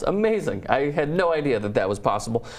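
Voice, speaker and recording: A man speaks at a moderate pace, and noticeable background noise is audible behind him. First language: not English. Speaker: sports show host. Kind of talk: casual sports talk.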